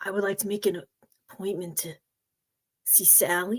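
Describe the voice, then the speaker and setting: A raspy, female-sounding voice in a put-on character voice speaks at a middle pitch. The pace is moderate. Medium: game stream. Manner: stammering, nervous.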